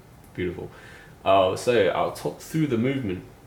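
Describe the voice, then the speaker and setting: Background noise is clearly noticeable. Through it, a man talks at a fairly quick clip. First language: not English. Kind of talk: casual product review to camera. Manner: hesitant, casual.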